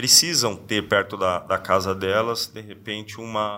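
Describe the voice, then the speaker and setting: This man's voice has a bright, sharp tone. That sharp brightness carries through. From São Paulo state (São Paulo city, then Sorocaba). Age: 40s. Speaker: politician. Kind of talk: interview. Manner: hesitant, repeats words.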